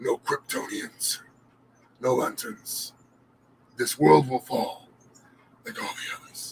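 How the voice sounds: A man's put-on character voice, menacing in tone, at a fairly slow pace with long, frequent pauses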